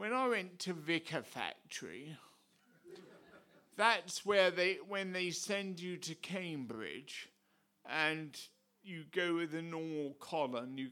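This man talks at a very slow pace with big swings in loudness. His pitch is fairly high and his tone bright and sharp. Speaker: visiting preacher and ordained priest. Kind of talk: sermon.

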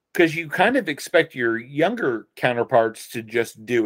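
A man talks at a moderate pace with an American accent. He has a normal speaking voice. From US Midwest, Dayton, Ohio. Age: 40s. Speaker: punk musician. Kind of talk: casual chat.

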